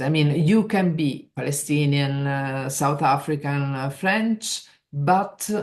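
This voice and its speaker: A woman speaks with an Italian accent. Her intonation is lively. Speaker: trade union leader. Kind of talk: interview. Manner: halting.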